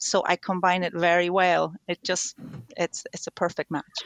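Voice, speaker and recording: In a Spanish accent, a woman speaks at a moderate pace with a fairly low pitch. The sound is dry and close, without echo. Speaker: tango dancer and language learner. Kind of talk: interview.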